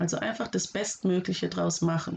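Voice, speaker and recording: A woman's voice carries lively intonation. Vocal fry runs through her speech. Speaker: podcast host and special-school teacher. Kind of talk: solo podcast advice talk. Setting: home office.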